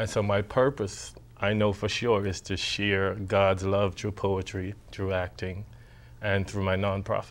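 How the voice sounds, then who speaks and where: Over music in the background, a man with a Bahamian accent speaks at a fairly slow pace. His voice is fairly low in pitch, with monotone, flat intonation. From Bahamas. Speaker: poet and actor. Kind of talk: interview.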